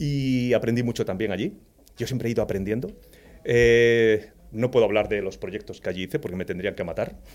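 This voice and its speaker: The man has an unremarkable speaking voice at medium pitch, with ordinary pitch variation and a fairly quick pace. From Spain, Andalusia (Jaén province). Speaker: cybersecurity executive. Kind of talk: casual interview.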